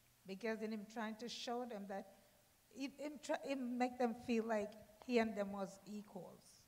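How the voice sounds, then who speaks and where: A woman speaks at a moderate pace with a fairly high pitch. Hers is a plain, everyday voice. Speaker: congregation member. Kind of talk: testimony. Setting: church.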